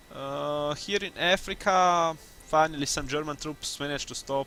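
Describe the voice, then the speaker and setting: A man at a fairly high pitch and a fairly slow pace, with ordinary pitch variation and music in the background. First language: not English. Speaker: gaming youtuber. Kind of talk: gameplay commentary. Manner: casual, halting with self-corrections.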